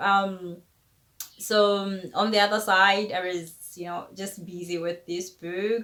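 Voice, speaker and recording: Using a South African accent, a woman with a bright, sharp tone and medium pitch speaks at a fairly slow pace. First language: Tshivenda. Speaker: author and YouTuber. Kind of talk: casual vlog talk to camera.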